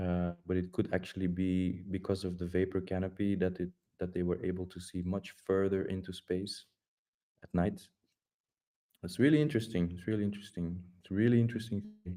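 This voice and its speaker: Very deep and low, a man's dark, mellow voice moves at a fairly quick pace with fairly even intonation and a non-native accent. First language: Dutch. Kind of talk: casual group voice chat. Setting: online voice chat. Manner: halting, many repetitions and fillers.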